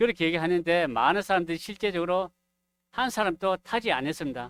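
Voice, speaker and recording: Loud and fairly quick, a man talks with a high pitch and lively intonation in a dry, close sound with no echo. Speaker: preacher. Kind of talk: sermon. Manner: gets louder as he goes.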